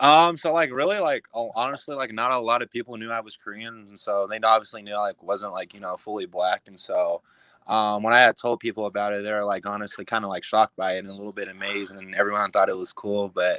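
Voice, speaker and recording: Delivery comes at a very fast pace with hardly any pauses and ordinary pitch variation. Loudness swings widely, and the sound is dry and close with no echo. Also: man, medium pitch for a man. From Kansas, Wamego. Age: young. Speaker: college football player. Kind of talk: interview.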